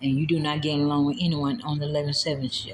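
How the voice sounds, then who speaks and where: A woman talks at a very fast pace in a very deep, low pitch. Noticeable background noise is audible. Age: 60s. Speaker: nursing home worker telling of her firing. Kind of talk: personal vlog testimony.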